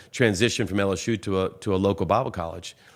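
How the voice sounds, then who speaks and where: A man with a Southern US accent talks at a fairly quick pace. His voice is fairly low in pitch, with fairly even intonation. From US South, Louisiana (Baton Rouge). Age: 60s. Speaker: pastor. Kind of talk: casual interview.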